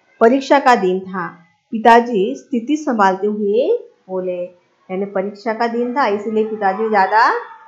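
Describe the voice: Here is plain reading aloud. The background is quiet.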